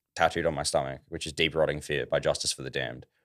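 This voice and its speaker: Very clean with a silent background, the recording captures a man with an Australian accent. His voice is very deep and low. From Australia, Ballarat, Victoria. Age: 20s. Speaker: metal band vocalist. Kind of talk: casual chat.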